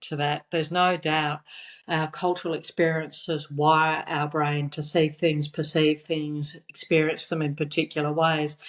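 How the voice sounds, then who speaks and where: A woman with a very deep, low voice speaks at a fairly slow pace in a very clean recording with a silent background. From abroad, Australian parents, moved between postings. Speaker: business executive. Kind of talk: interview. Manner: halting.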